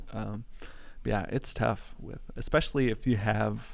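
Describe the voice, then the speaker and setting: Speaking at a moderate pace, a man has a Midwestern American accent. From US Midwest, Metro Detroit, Michigan. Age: 20s. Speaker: YouTuber. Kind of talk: live stream Q&A. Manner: casual, many fillers.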